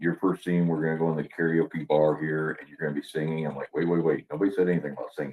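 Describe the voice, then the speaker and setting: This is a man's voice. His pitch is very deep and low. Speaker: actor, army veteran. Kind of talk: casual interview chat. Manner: animated storytelling.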